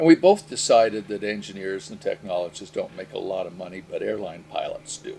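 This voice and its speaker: Over noticeable background noise, a man speaks fairly quickly with hardly any pauses and big swings in loudness. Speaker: retired airline pilot. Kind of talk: interview storytelling.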